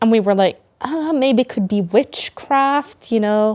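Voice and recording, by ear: A woman's medium-pitched voice, slightly mellow in tone, at a moderate pace with ordinary pitch variation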